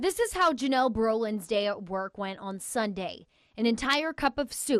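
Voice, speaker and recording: In a plain, everyday voice, a woman speaks fairly slowly at a fairly high pitch with lively intonation, in a dry, close sound with no echo. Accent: American. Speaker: TV news reporter and anchor. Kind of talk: TV news package voiceover narration.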